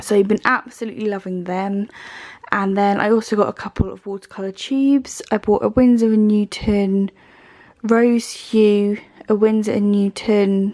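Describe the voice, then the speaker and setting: At a moderate pace, a woman with a medium pitch speaks in fairly even intonation. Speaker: art and book YouTuber. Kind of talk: casual haul video. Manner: hesitant with fillers.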